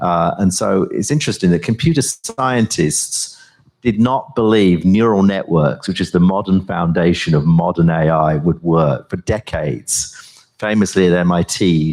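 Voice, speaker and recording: Speaking with a British accent, a man uses a very deep, low pitch, a moderate pace and ordinary pitch variation. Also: hardly any pauses. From US and Britain, left Yorkshire as a baby. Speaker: professor and AI researcher. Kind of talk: conference talk and onstage interview. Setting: stage with audience.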